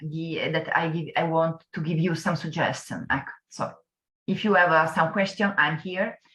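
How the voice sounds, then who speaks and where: A woman with an Italian accent speaks at a moderate pace with fairly even intonation. Her fairly low voice has a bright, sharp tone. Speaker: business tourism speaker. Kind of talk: webinar talk. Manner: halting.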